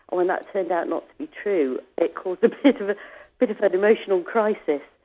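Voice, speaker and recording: Very fast and with lively intonation, a woman speaks at medium pitch in a British accent. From England. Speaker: author and ocean rower. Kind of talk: interview. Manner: hesitant, many fillers.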